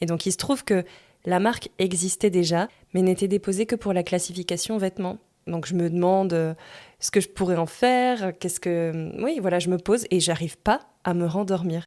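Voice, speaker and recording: A woman's dark, mellow voice at medium pitch, fairly even in intonation and moderate in pace, in a very clean recording with a silent background. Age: 30s. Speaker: podcast host. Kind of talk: personal storytelling monologue. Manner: casual.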